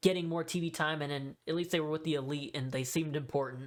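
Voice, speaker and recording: A woman speaks at a fairly quick pace in a very deep, low voice. Her intonation is flat and monotone, and the recording is very clean with a silent background. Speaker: wrestling commentary YouTuber. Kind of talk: casual monologue ranking a tier list. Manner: casual, hesitant with fillers.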